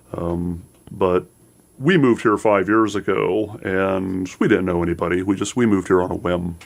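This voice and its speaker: A man with an American accent speaks in a very deep, low pitch. His pace is moderate and his intonation fairly even. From Seattle. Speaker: actor. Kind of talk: radio interview.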